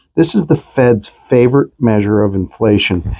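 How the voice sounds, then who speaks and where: Ordinary pitch variation in a man's medium-pitched speech. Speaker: mortgage lender. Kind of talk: casual chat. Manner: slow.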